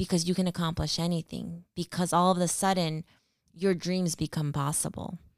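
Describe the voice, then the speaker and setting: A woman with a Californian accent speaks in a fairly low, monotone, flat voice at a moderate pace, the sound dry and close with no echo on a very clean recording with a silent background. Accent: Californian American English. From California, Central Valley (Stockton). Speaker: nonprofit program manager. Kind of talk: interview.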